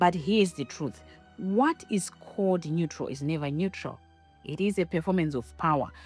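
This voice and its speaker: Speaking at a moderate pace with a strong non-native accent, a woman uses a fairly low pitch and lively intonation as music plays in the background. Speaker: podcaster, academic. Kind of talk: personal narrative monologue.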